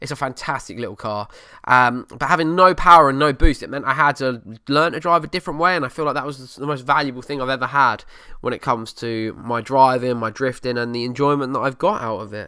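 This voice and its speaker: A man with an Essex accent talks very fast at a medium pitch with ordinary pitch variation. The recording is very clean, with a silent background. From Essex, England. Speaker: podcast host. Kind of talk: casual chat. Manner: casual, hesitant with fillers. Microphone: new microphone.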